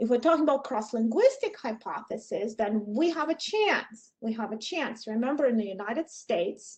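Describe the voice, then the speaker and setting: A woman in a Russian accent speaks at a moderate pace with hardly any pauses, her high pitch carrying lively intonation. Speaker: professor. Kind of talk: lecture. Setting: video call.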